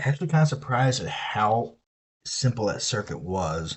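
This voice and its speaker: A man with a Southern US accent talks at medium pitch, somewhat breathy. His pitch swings very widely. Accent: Southern US, moderate. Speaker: streamer. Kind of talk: casual chat. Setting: live stream. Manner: casual, profane.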